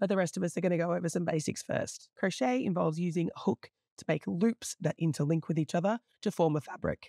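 A woman's fairly low, dark, mellow voice with an Australian accent at a very fast pace, dry and close with no echo, on a very clean recording with a silent background. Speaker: crochet teacher. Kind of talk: tutorial.

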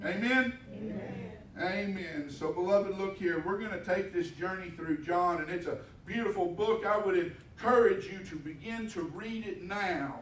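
Someone with an American accent talks at a moderate pace amid audible room echo and light background noise. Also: man, high pitch for a man, ordinary pitch variation. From Texas. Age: 50s. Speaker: pastor. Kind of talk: sermon. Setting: church. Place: church.

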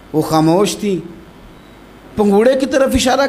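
The man's intonation is lively. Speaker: Islamic preacher. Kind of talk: religious sermon (bayan). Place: studio. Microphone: studio mic.

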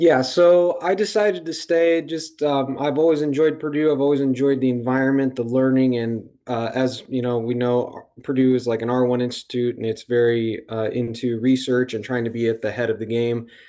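A man with an American accent speaks in a dark, mellow tone. He leaves hardly any pauses, over a quiet background. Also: ordinary pitch variation, moderate pace. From Indiana, Hammond; Indiana. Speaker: PhD student; panelist. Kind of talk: live Q&A panel. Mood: friendly, encouraging.

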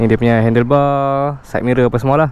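A man's moderately paced voice comes through with a dry sound and no echo. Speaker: motorbike vlogger. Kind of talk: casual vlog chat. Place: open country. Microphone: phone near.

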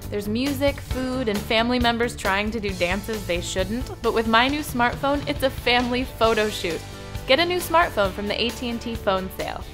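With music in the background, a woman keeps a moderate pace as she talks. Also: ordinary pitch variation. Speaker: voice actor. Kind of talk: TV commercial read. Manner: casual, conversational.

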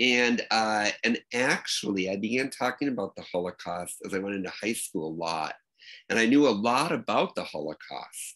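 A man with an American accent speaks at a moderate pace in a fairly low pitch. His tone is bright and sharp, his intonation lively, and the background quiet. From Minnesota, US Midwest. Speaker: archive director; podcast interviewee or host. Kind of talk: interview. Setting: video call. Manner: halting, many fillers. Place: home room. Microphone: video call.

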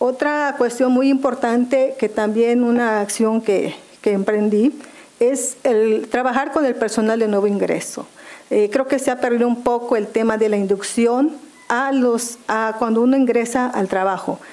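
Speaking at a fairly slow pace, a woman uses a high pitch with fairly even intonation and very even loudness. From Mexico, Maya zone of Quintana Roo. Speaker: public official, job candidate; candidate. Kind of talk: formal job interview before legislative committee. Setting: legislative committee hearing. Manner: formal. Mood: formal, composed. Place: meeting room. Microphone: podium.

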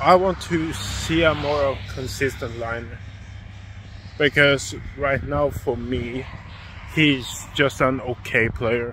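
Amid light background noise, a man talks at a very slow pace with long, frequent pauses and ordinary pitch variation, the sound dry with no echo. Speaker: sports vlogger. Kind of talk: casual vlog chat. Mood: critical opinion rant. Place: street. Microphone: phone near.

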